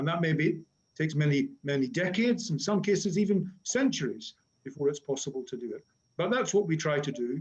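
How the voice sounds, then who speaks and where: Speaking at a fairly quick pace in a Northern Irish accent, the voice moves through very wide pitch swings. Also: man, fairly high pitch for a man. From Northern Ireland. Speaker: academic conference moderator. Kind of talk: webinar introduction. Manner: hesitant with fillers.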